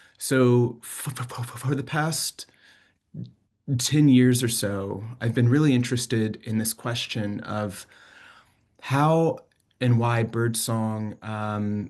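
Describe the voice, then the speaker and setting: A man speaks at a very slow pace with long, frequent pauses. His pitch is medium and his intonation fairly even. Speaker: bioacoustics researcher and sound artist. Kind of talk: lecture. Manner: repeating sounds on word starts.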